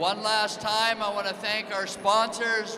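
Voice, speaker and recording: A man speaks in a raised, projected voice at a high pitch, with flat, monotone intonation, audible room echo and noticeable background noise. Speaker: competition announcer. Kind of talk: event announcements to live audience. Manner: loud.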